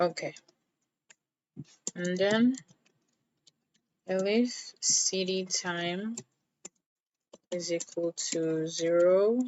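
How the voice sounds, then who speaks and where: Very slow and full of long, frequent pauses, a woman speaks with fairly even intonation. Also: medium pitch for a woman. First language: not English. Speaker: self-taught programmer, coding tutorial maker. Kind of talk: coding tutorial walkthrough. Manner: casual, conversational.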